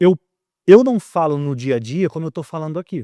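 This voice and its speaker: Very clean recording, silent background, and a dry, close sound with no echo carry a man's fairly high-pitched voice with a dark, mellow tone. He speaks at a moderate pace in a Rio de Janeiro accent. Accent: carioca. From Rio de Janeiro, Brazil. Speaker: communicator and author. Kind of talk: podcast interview. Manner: calm, measured pace; projected, placed voice.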